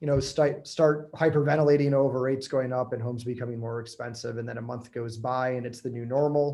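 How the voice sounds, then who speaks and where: A man at a medium pitch with an American accent, fairly quick in pace, his intonation fairly even, in an ordinary speaking voice. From Michigan. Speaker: real estate agent. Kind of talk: webinar panel answering questions.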